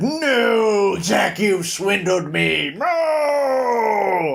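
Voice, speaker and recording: Someone is performing a put-on character voice. The pitch is fairly high. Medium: read story. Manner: smug, tempting.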